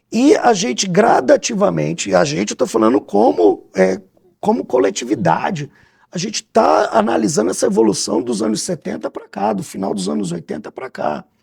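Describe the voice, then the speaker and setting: A man with a medium-pitched voice and vocal fry swings his pitch very widely. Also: moderate pace. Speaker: theatre director and cultural producer. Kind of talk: radio interview.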